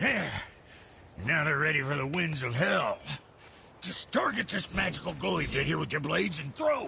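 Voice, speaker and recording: A man puts on a raspy, gruff character voice at a fairly high pitch. He takes long, frequent pauses over clear background noise. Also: moderate pace. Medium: video game. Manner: gruff, folksy.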